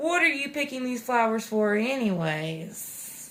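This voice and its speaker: A woman uses a put-on character voice with a fairly high pitch and a fairly slow pace. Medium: read story.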